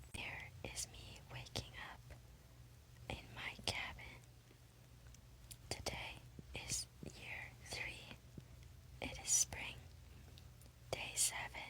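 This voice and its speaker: Very slow whispering, broken by long and frequent pauses, comes through noticeable background noise. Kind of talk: whispered ASMR gameplay narration. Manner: whispered.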